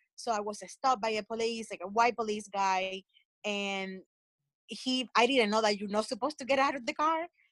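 A woman's fairly high voice with a coastal Colombian accent, at a moderate pace with ordinary pitch variation, in a dry, close sound with no echo. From Colombia (coast). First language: Spanish. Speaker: podcast panelist, Colombian immigrant. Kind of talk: casual panel discussion.

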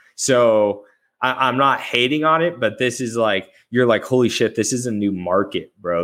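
At a moderate pace, a man with an American accent speaks in an unremarkable speaking voice with ordinary pitch variation. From Arizona. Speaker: sports podcast host. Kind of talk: casual chat.

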